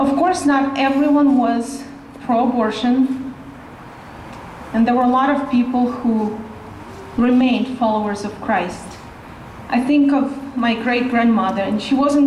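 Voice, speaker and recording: A woman with a Russian accent at a high pitch, fairly even intonation, and a moderate pace, with audible room echo and noticeable background noise. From Russia (Siberia). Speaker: rally speaker. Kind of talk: speech.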